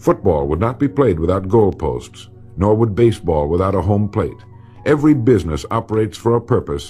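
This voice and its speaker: With music in the background, a man with an American accent talks at a fairly quick pace, his fairly low pitch taking very wide swings. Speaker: motivational speaker. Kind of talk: motivational speech / recorded lecture.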